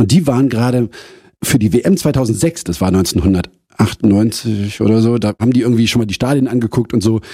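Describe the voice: A man with a fairly low, dark and mellow voice and a slightly husky edge speaks fast, with ordinary pitch variation and few pauses.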